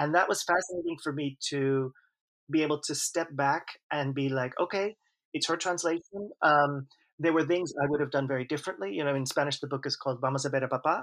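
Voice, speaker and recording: An ordinary speaking voice moves at a fairly quick pace with ordinary pitch variation over a quiet background. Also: man, fairly high pitch for a man. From US Northeast, New York City. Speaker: author and translator. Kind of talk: interview.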